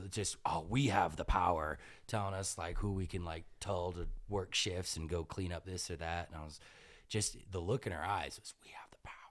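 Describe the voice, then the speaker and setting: Big swings in loudness mark a man's very deep, low voice, delivered at a moderate pace with fairly even intonation. The recording is very clean, with a silent background. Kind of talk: casual chat. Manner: stutters.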